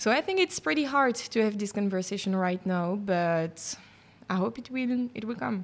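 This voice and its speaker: With a Belgian French accent, a woman talks using ordinary pitch variation. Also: medium pitch for a woman, moderate pace. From Brussels, Belgium. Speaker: journalist and podcast host. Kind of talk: casual interview chat. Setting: cheese bar. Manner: hesitant, many fillers.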